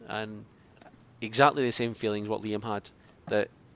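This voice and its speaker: A man with a Scottish accent talks fairly quickly in a fairly low voice with fairly even intonation. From Scotland. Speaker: podcast host. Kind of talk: casual chat.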